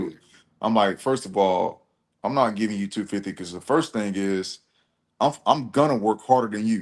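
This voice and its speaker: With an unremarkable speaking voice, a man of fairly low pitch and ordinary pitch variation talks at a moderate pace, his loudness swinging widely over a quiet background. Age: 30s. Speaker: truck driver and live streamer. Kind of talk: casual chat.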